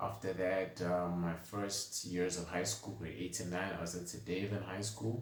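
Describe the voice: With strong room echo, a man speaks at a low pitch and a moderate pace, showing little pitch movement.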